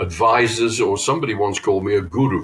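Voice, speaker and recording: Somewhat breathy and medium in pitch, a man talks at a moderate pace with ordinary pitch variation, the sound dry and close with no echo. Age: 70s. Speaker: trade show marketing consultant. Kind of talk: podcast interview.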